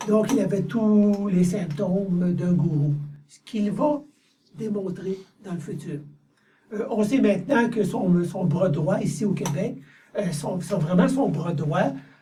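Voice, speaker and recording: Speaking at a very slow pace with long, frequent pauses, a man with a high pitch is heard amid audible room echo. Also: ordinary pitch variation. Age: 60s. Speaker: channeling medium. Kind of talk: interview. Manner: halting.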